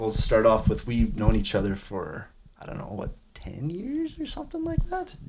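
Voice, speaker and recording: Noticeable background noise sits behind the recording. A man speaks with a Canadian prairie accent. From Saskatchewan, Canada (Wadena). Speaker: podcast host. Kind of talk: interview. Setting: cabin.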